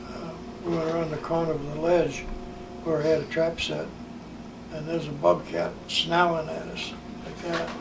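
A man with an American accent talks at a moderate pace, leaving long, frequent pauses. His loudness swings widely, and there is noticeable background noise. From US Northeast, New Hampshire. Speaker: grandparent telling life stories; interviewee. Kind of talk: casual family interview. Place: home room.

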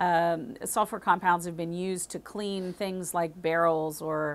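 A woman's fairly low pitch in monotone, flat intonation, at a fairly slow pace. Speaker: wine educator. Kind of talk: explainer to camera. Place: shop. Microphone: lapel.

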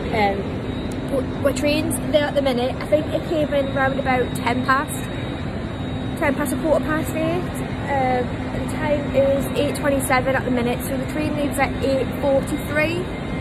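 Loud background noise fills the clip. A woman speaks at a very slow pace. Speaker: vlogger. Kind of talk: casual vlog chat. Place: station. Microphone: phone near.

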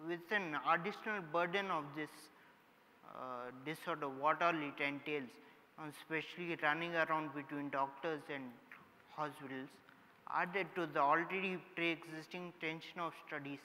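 A man's bright, sharp tone at a moderate pace, with fairly even intonation and light background noise. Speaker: summit host, speaker. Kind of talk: inspirational talk. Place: stage.

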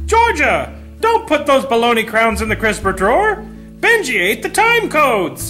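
A female-sounding put-on character voice at a moderate pace, with clear music in the background. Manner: unhinged, nonsensical.

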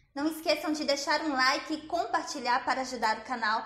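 Light background noise and audible room echo surround a high-pitched woman's voice. She keeps a moderate pace with ordinary pitch variation. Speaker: cooking vlogger. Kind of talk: tutorial. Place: kitchen.

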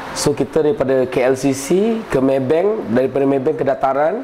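A man speaks at a medium pitch and a fairly slow pace. Light background noise sits behind him. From Kuala Lumpur, Malaysia. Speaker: protester describing police assault. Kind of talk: testimony. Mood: serious, recounting an assault. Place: empty room.

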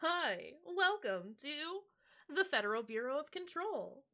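In a put-on character voice, the speaker talks at an extremely high pitch with very wide pitch swings and a fairly slow pace. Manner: smooth, reassuring.

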